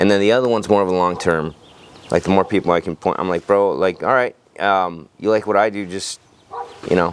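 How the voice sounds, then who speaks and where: A man's fairly low voice with an American accent, fairly even intonation and a fairly quick pace amid noticeable background noise. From Southern California, Hemet. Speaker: stand-up comedian. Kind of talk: interview, casual chat. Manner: fast, words slurred together on stage.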